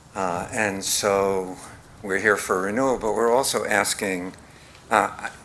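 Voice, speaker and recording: Very slowly and with fairly even intonation, a man speaks in a very deep, low voice over noticeable background noise. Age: 80s+. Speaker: applicant, home business owner. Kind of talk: public hearing testimony.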